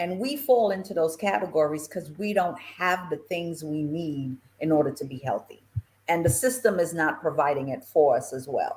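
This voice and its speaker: In a normal speaking voice, a woman talks at a moderate pace with fairly low pitch and lively intonation. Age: 60s. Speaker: retirement planning expert. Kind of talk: talk show interview.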